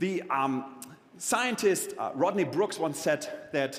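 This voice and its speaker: A man with a slight German accent speaks at a high pitch with very wide pitch swings. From Germany. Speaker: keynote speaker on technology and the future. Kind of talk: conference keynote talk.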